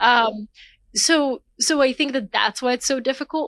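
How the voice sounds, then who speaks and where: A woman talks fairly slowly at a high pitch with ordinary pitch variation, on a very clean recording with a silent background. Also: dry, close sound with no echo. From US South, Atlanta, Georgia (from age 8, born in Bulgaria). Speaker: author and newsletter founder. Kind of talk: interview conversation.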